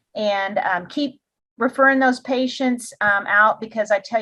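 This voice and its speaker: With ordinary variation in pitch and a normal speaking voice, a woman talks at an unhurried, moderate speed. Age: 60s. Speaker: wellness coach and podcast host. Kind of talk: interview podcast.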